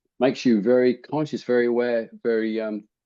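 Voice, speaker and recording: This man speaks with an Australian accent. His pitch is medium and his pace moderate. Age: 70s. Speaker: habit change coach. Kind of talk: interview. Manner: halting, many repetitions.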